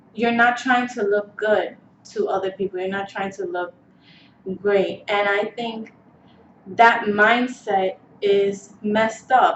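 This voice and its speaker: A woman speaks at a very slow pace, with a fairly high pitch and fairly even intonation. Noticeable background noise runs underneath. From New York City, the Bronx. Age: 20s. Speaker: beauty vlogger. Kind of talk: casual vlog monologue. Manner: hesitant, many fillers.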